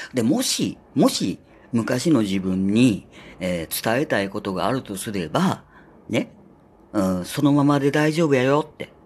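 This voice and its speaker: Talking at a fairly slow pace, a man shows very wide pitch swings and big swings in loudness. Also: medium pitch for a man. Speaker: podcaster. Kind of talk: casual solo talk. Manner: chatty, many filler words.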